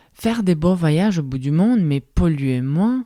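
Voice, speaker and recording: With a non-native accent, a woman speaks very slowly in a dark, mellow tone with lively intonation, the sound dry and close with no echo. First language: not French (speaking French). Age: 30s. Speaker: podcast host. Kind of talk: solo reflective podcast monologue.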